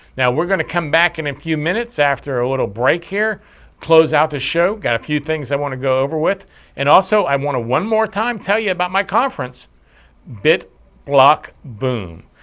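On a very clean recording with a silent background, a man with an unremarkable speaking voice talks at a moderate pace, his fairly high pitch carrying lively intonation. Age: 60s. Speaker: podcast host and small business owner. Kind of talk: educational show monologue. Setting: studio.

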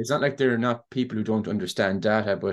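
Speaking at a very fast pace with an Irish accent, a man keeps a fairly low pitch and fairly even intonation against a quiet background. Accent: Irish (Clare). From Ireland, Ennis, County Clare. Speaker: software startup co-founder. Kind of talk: podcast interview.

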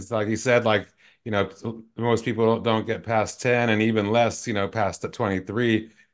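A man at medium pitch with monotone, flat intonation, at a moderate pace. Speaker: podcast host. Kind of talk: interview intro and casual chat. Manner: hesitant, filler-heavy.

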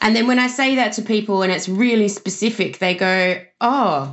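Ordinary pitch variation from a woman, moderate in pace. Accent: Australian. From Australia. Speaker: social media marketer. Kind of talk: interview answers.

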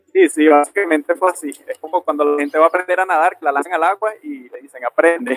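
A very fast pace with ordinary pitch variation, big swings in loudness, and a dry, close sound lacking echo. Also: man, high pitch for a man. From Venezuela, Aragua state. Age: 20s. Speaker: rugby referee. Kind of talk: interview.

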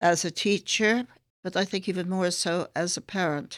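With an American accent, a woman speaks at a fairly low pitch. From US, New York and San Francisco area. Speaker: school founder. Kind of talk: interview. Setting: online recording from a school office. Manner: formal.

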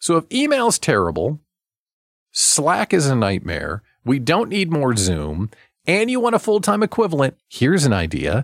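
A man with a fairly high voice and vocal fry speaks at a moderate pace with very wide pitch swings but very even loudness. The recording is very clean, with a silent background. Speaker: radio host and small business coach. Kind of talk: radio talk show. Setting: studio. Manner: animated.

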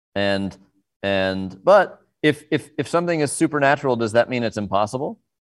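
A man speaks in a normal speaking voice at a medium pitch and a moderate pace, with lively intonation. The recording is very clean, with a silent background. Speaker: film director. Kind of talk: interview.

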